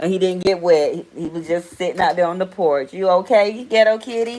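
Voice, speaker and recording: A woman speaks with a strong Southern US accent at a moderate pace. Her pitch is fairly low, with ordinary pitch variation. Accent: strong Southern country. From US South. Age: 40s. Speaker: live stream host. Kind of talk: casual live stream chat. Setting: live stream. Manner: animated.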